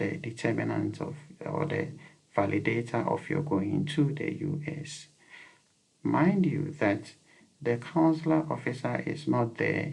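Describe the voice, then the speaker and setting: A man talks at a fairly slow pace. He speaks in a Ghanaian accent. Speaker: YouTube educator. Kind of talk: advice talk to camera. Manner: repetitive, with many fillers.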